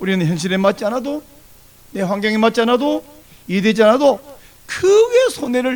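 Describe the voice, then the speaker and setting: Noticeable background noise runs under this man's voice. He speaks high in pitch with lively intonation. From South Korea, countryside near Busan. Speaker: pastor. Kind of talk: sermon.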